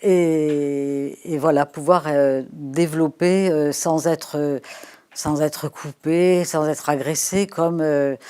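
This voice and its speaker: On a very clean recording with a silent background, a woman speaks at a very slow pace with a very deep, low pitch, a dark, mellow tone and fairly even intonation. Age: 70s. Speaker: sociologist. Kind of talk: interview. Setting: live studio interview. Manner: hesitant, many fillers.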